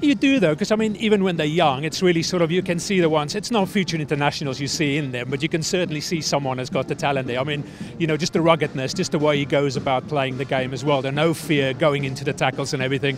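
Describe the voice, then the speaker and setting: With a South African accent and a fairly high pitch with ordinary variation, a man races along at a very fast pace with hardly any pauses over noticeable background noise. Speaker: youth rugby coach. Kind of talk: interview.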